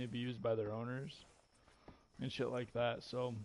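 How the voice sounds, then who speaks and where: Speaking at a moderate pace in an American accent, the man has a medium pitch and a monotone, flat intonation. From rural northern Michigan, US. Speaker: gamer streamer. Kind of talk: casual gameplay chat.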